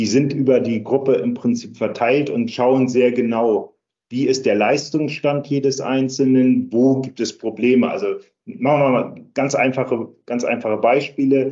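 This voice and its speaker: Using a normal speaking voice, a man talks at a medium pitch and a fairly slow pace with fairly even intonation. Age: 60s. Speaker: charity cycling team captain. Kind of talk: interview.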